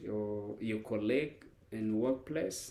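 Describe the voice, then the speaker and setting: In a non-native accent, a man speaks with a fairly low, dark, mellow voice and ordinary pitch variation. Room echo is audible. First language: not English. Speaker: life coach. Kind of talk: lecture. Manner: halting.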